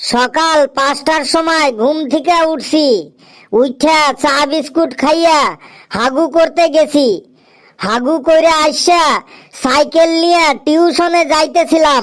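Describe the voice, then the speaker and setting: A woman puts on a cartoonish character voice, high-pitched, speaking at a fairly slow pace with fairly even intonation. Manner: rambling, repetitive.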